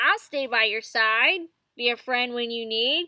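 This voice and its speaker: A woman uses a put-on character voice pitched high, moving at a fairly slow pace. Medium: read story. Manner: bouncy, cheerful.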